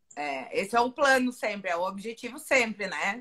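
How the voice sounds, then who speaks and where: A woman speaks with a Rio Grande do Sul accent. Her pace is moderate and her intonation lively. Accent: gaúcho (Rio Grande do Sul) Portuguese. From Rio Grande do Sul, Brazil. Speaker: finance professor. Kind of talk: live online interview. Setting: online live stream.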